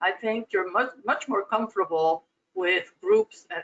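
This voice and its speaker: A woman with a Spanish accent speaks at a fairly slow pace with lively intonation. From Cuba. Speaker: corporate board director. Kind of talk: interview.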